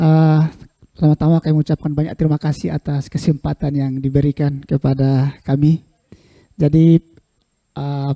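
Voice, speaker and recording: A man's fairly high-pitched voice, dark and mellow in tone, with monotone, flat intonation, a fairly slow pace, and a dry, close sound with no echo. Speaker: keynote speaker, researcher. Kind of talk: lecture.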